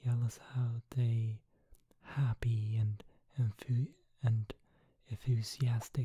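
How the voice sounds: Reading aloud, in a natural voice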